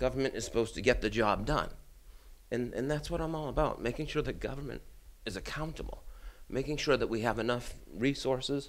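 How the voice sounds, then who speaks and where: With a Boston accent, a man speaks at a medium pitch with vocal fry. His pace is fairly quick and his pitch variation ordinary. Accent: Boston-area American. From Brockton, Massachusetts. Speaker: city councilor and political candidate. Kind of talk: campaign interview.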